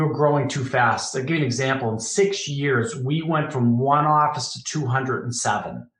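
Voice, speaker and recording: A man with a Boston accent speaks at a fairly high pitch with ordinary pitch variation. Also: hardly any pauses. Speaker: business founder and former executive. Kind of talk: podcast interview.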